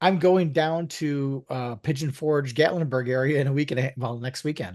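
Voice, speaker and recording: A man speaks with an unremarkable speaking voice at a fairly high pitch. His pace is moderate and his pitch variation ordinary. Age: 60s. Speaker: podcast co-host. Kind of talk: casual chat.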